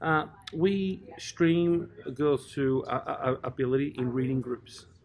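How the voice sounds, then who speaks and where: With an Australian accent and ordinary pitch variation, the voice comes through over noticeable background noise. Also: man. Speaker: primary school teacher. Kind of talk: casual interview. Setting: at a conference. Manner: hesitant, many fillers and repeats.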